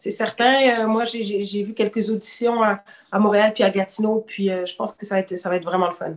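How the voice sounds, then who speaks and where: Here is a woman with a normal speaking voice and a fairly high pitch. She keeps a moderate pace and fairly even intonation. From Quebec City, partly raised in Senegal. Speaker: rapper. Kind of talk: casual chat.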